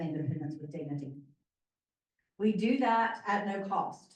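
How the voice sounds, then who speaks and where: Audible room echo surrounds a woman's voice. She talks at a fairly quick pace. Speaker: nonprofit volunteer director. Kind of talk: informational presentation. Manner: loud.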